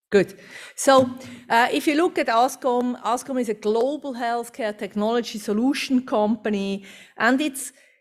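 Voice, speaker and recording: A woman's high-pitched voice with a Swiss accent, at a moderate pace with ordinary pitch variation, in a very clean recording with a silent background. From Switzerland. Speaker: company executive. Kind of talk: conference presentation.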